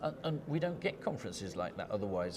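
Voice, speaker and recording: A man talks at a very fast pace. Room echo is audible, and background noise is noticeable. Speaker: geochemist, scientific society vice president. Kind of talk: conference interview. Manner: animated, enthusiastic; repeats words, stumbles.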